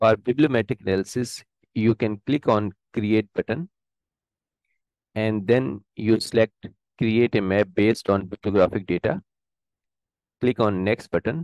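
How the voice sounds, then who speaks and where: Against a quiet background with a dry sound and no echo, a man with a fairly low pitch talks at a moderate pace, using ordinary pitch variation and long, frequent pauses. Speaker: presenter. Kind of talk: tutorial. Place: home room.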